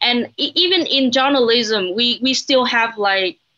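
With a high pitch, lively intonation and a bright, sharp tone, a woman speaks. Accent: Vietnamese. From Vietnam, Hanoi. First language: Vietnamese. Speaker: journalist. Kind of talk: panel discussion. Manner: halting.

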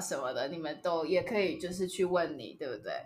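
A woman with a Taiwanese accent, medium pitch, ordinary pitch variation and a fairly quick pace, amid audible room echo and noticeable background noise. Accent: Taiwanese Mandarin. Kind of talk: casual chat. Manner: animated.

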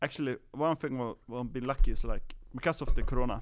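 A man speaks at a medium pitch with a Swedish accent. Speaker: podcast co-host. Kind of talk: casual chat. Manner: halting.

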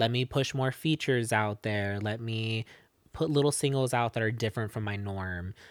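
A man with an American accent has a normal speaking voice, medium in pitch, with ordinary pitch variation at a moderate pace. The recording is very clean, with a silent background and a dry, close sound with no echo. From Arizona, Casa Grande. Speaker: singer-songwriter. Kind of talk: casual interview chat.

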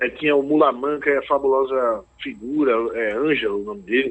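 Here a man speaks at a moderate pace. His pitch sits fairly high. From Recife, Brazil. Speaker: singer-songwriter. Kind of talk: interview. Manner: halting.

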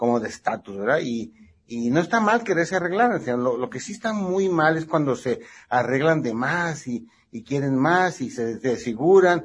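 This man's voice is somewhat breathy and moves through very wide pitch swings. He keeps a moderate pace against a quiet background. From northwestern Mexico (Sonora, Baja California). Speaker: plastic surgeon. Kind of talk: interview.

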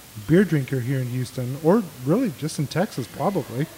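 A man with an American accent at a moderate pace, lively intonation and noticeable background noise. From Mexico, raised on the US border. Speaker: beer podcast host. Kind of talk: casual chat.

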